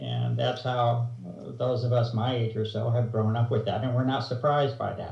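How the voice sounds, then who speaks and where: A somewhat breathy man talks at a moderate pace. Audible room echo surrounds his voice. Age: 60s. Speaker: researcher interviewed on environmental topic. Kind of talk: interview explanation. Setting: video call. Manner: hesitant, many fillers.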